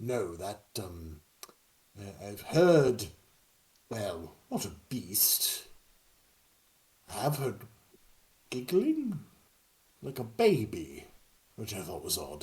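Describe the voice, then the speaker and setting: Using a put-on character voice at medium pitch, a man talks at a very slow pace with long, frequent pauses. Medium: actual play. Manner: formal, hesitant, proper.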